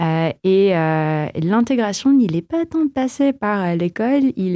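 A woman with a Filipino accent speaks at a fairly slow pace in a medium-pitched voice with lively intonation. Her tone is dark and mellow, and the sound is dry and close with no echo. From Philippines. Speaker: tech entrepreneur. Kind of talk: interview.

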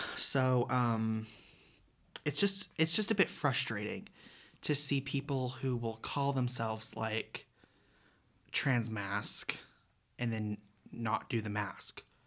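A very slow delivery full of long, frequent pauses, on a very clean recording with a silent background. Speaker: podcast co-host, college student. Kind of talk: casual chat.

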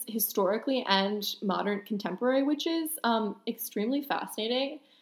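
With an American accent, a woman uses an ordinary speaking voice at a fairly high pitch. Her pace is moderate and her pitch variation ordinary. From New York City. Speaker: podcast co-host. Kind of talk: casual chat.

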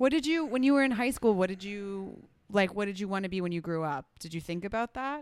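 With an American accent, a woman talks at a fairly quick pace in a plain, everyday voice. Her pitch is medium and her intonation lively. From New Jersey. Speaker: freelancer, guest interviewer. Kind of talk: casual chat.

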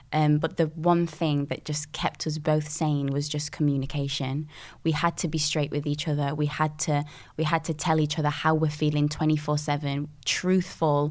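Spoken in a Yorkshire accent at a moderate pace, the monotone, flat delivery sits on a very clean recording with a silent background. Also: woman, very deep, low pitch for a woman. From northern England, Sheffield (Dinnington). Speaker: singer and dancer. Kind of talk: casual chat.

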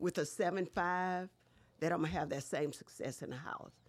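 Heard in a very clean recording with a silent background, a woman with an American accent uses an ordinary speaking voice at medium pitch with ordinary pitch variation. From US South, Baton Rouge, Louisiana. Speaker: city council member and candidate. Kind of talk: interview.

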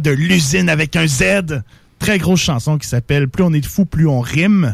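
This man talks at a moderate pace in a relaxed tone, his pitch fairly high. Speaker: radio host. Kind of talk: casual hip-hop radio banter, slangy and laid-back. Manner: relaxed, jokey, peppered with 'man' and Quebec slang.

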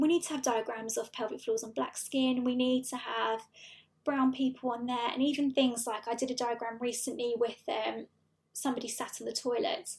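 Speaking with a British accent, a woman has a high pitch and fairly even intonation. Her pace is moderate. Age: 20s. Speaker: pelvic health physiotherapist. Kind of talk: interview.

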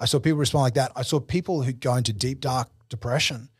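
On a very clean recording with a silent background, a man with an Australian accent talks at a very fast pace, somewhat breathy, medium-pitched, with fairly even intonation. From Australia, Brisbane. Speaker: business executive and consultant. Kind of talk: interview. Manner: halting, frequent repetitions.

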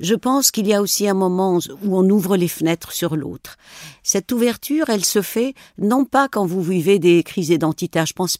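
A woman with a Tunisian accent speaks at a moderate pace and medium pitch, with lively intonation. The recording is very clean and dry, close with no echo, on a silent background. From rural northwestern Tunisia, near Algerian border. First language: Tunisian Arabic (speaking French). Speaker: novelist and journalist. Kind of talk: interview. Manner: halting, with repetitions.

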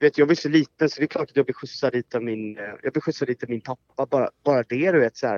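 A man of medium pitch rattles along at a very fast pace with hardly any pauses and ordinary pitch variation. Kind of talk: casual chat.

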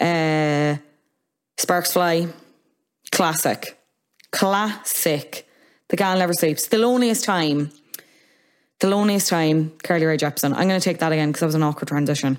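On a very clean recording with a silent background, a woman with a fairly low pitch and ordinary pitch variation speaks at a moderate pace, leaving long, frequent pauses. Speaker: podcast host. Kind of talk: casual chat.

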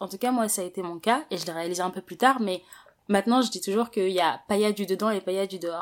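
A woman speaks very fast with lively intonation. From Paris, France. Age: 20s. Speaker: interviewee sharing life story. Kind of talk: interview.

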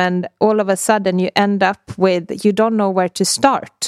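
This woman has a Swedish accent and a medium pitch, speaking at a fairly slow pace. The recording is very clean with a silent background and a dry, close sound with no echo. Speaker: podcast host, health author. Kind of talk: casual interview.

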